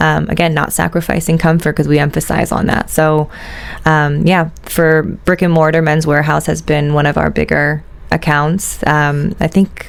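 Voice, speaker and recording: At a fairly slow pace, a woman with an American accent speaks at a very deep, low pitch over noticeable background noise. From US. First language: Italian. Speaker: shoe company executive. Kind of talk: interview. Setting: studio. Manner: hesitant, many fillers.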